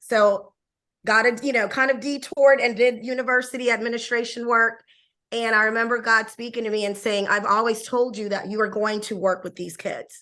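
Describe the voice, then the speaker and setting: A woman speaks with a bright, sharp tone at a fairly high pitch. Her intonation is fairly even. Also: fairly quick pace, quiet background. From Panama. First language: Spanish. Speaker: bilingual education leader. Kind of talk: podcast interview. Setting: call.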